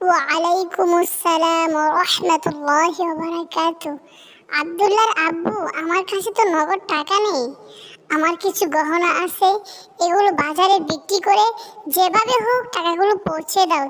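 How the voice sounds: A woman does a cartoonish character voice. It is extremely high-pitched and delivered at a fairly slow pace.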